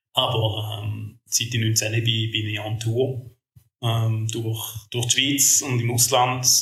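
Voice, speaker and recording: A man speaks at a very slow pace in a medium pitch, his intonation monotone and flat. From Switzerland, Schaffhausen. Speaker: podcast co-host. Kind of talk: casual chat.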